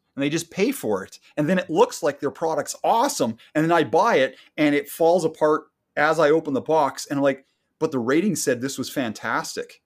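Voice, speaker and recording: This man has an unremarkable speaking voice with a Canadian accent, a fairly high pitch and ordinary pitch variation. He talks at a fairly quick pace in a very clean recording with a silent background. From Canada. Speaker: podcast co-host. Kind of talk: casual chat.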